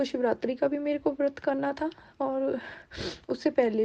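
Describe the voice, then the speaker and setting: A woman is speaking. Her tone is dark and mellow. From Punjab, India. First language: Punjabi (speaking Hindi). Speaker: devotee sharing experience. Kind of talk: testimony. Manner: halting.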